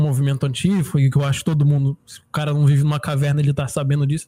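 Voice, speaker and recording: A man speaks at a very fast pace in a fairly high, somewhat breathy voice with a dark, mellow tone and monotone, flat intonation. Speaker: podcast co-host. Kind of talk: casual chat.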